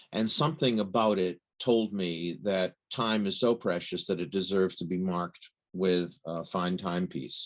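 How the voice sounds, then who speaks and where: Over a quiet background, a man with an American accent talks at a moderate pace. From United States. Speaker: watch journalist. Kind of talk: interview.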